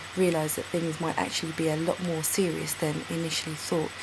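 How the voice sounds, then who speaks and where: A woman speaks at a fairly quick pace in a fairly low pitch. Her intonation is monotone and flat, with noticeable background noise behind her. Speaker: author. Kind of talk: casual introduction to camera.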